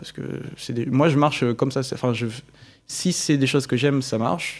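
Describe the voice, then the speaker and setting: Fairly quick in pace, a man speaks at a medium pitch. His intonation stays fairly even. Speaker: engineering student. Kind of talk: casual interview. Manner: fast.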